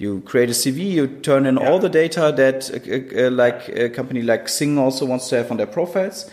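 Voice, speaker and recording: Noticeable background noise sits behind a man with a German accent. He speaks at a moderate pace and medium pitch, with ordinary pitch variation and hardly any pauses. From Germany, Cologne. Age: 30s. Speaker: entrepreneur and university head. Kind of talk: interview. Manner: hesitant with many fillers.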